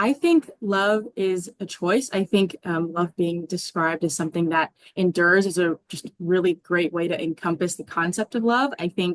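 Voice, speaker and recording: Speaking at a moderate pace with hardly any pauses, a woman with an American accent has an unremarkable speaking voice and ordinary pitch variation, recorded with a dry, close sound and no echo. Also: fairly low pitch for a woman. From Arizona. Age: 20s. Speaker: college student panelist. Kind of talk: casual panel chat.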